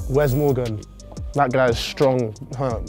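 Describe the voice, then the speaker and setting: Faint music plays in the background as a man talks with fairly even intonation. The sound is dry with no echo. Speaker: guest. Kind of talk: interview answer. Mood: relaxed, amused. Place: studio.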